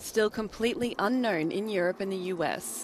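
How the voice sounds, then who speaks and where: Here is a woman with an unremarkable speaking voice. Her pitch is medium, with ordinary pitch variation. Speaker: news anchor. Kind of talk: news reading.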